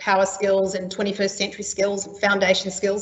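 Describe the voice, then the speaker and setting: A woman with a New Zealand accent and a medium pitch speaks over noticeable background noise. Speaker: training and skills specialist. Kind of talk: webinar presentation. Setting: online webinar. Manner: frequent filler ums.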